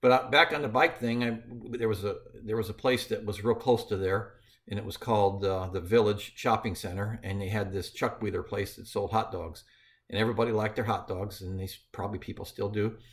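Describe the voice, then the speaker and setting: Somewhat breathy and fairly even in intonation, the voice moves at a fairly quick pace on a very clean recording with a silent background. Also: man, fairly low pitch for a man. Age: 60s. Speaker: grandfather recounting his early working life. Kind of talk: personal storytelling. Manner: halting, with many fillers.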